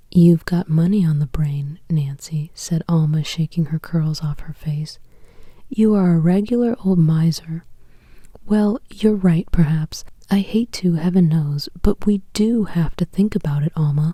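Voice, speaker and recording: A woman speaks at a fairly slow pace in a fairly low pitch, her tone soothing, calm, dark and mellow, and somewhat breathy. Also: ordinary pitch variation. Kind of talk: sleep story, audiobook reading.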